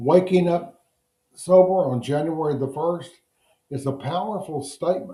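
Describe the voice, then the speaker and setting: Speaking at a very slow pace, a man has a dark, mellow tone, a somewhat breathy voice and ordinary pitch variation. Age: 80s+. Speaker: addiction recovery counselor. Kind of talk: recorded lesson to recovery group. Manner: warm, encouraging.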